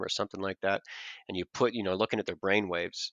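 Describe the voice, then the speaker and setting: His voice sits at a fairly low pitch. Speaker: podcast guest discussing hypnosis. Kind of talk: casual podcast interview. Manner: rhythmic, lulling cadence; occasionally raises voice to break the pattern.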